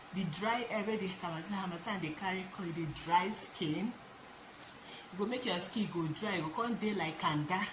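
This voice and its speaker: A woman at a medium pitch, with ordinary pitch variation and a moderate pace, over noticeable background noise. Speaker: vlogger. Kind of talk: casual talk to camera.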